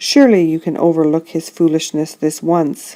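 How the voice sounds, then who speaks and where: A woman speaks at a moderate pace in a put-on character voice. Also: fairly low pitch for a woman. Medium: read story. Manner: dignified, firm.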